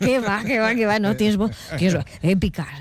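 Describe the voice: Pitch rises and falls in an ordinary way. The speech moves at a moderate pace. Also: woman, medium pitch for a woman.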